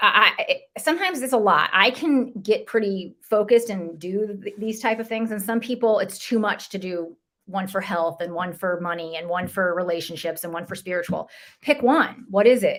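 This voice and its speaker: A woman speaks in a medium pitch with ordinary pitch variation. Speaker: podcast co-host. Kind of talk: casual chat. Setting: live stream. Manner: fast.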